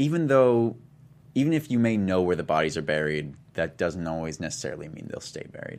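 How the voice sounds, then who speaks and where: A man is talking. He has a General American accent. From US Pacific Northwest, Olympia/Tumwater, Washington. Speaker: actor. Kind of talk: casual interview. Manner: hesitant, many fillers and restarts.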